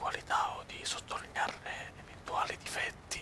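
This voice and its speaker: Whispering in a relaxed tone at a fairly slow pace, the speaker is heard over noticeable background noise. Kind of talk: ASMR gameplay commentary. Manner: whispered; soft-spoken, relaxed.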